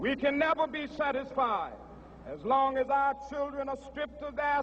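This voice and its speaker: Amid noticeable background noise, a man with an American accent speaks in an extremely high pitch with monotone, flat intonation. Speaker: minister. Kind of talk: political speech at a mass rally. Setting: outdoors, PA system. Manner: rousing oratory.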